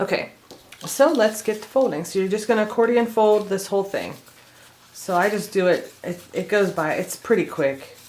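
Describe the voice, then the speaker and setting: A woman speaks at a moderate pace and medium pitch, with noticeable background noise. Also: ordinary pitch variation. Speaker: craft tutorial creator. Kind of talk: tutorial. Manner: casual, chatty.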